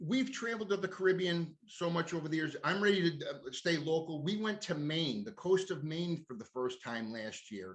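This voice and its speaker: With hardly any pauses, a high-pitched man speaks with lively intonation over noticeable background noise. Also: moderate pace. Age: 60s. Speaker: cannabis influencer. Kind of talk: casual chat. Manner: halting.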